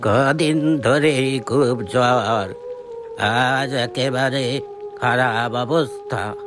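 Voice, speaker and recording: A man performs a cartoonish character voice at a very slow pace over clear background noise. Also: medium pitch for a man. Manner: soft-spoken, affectionate.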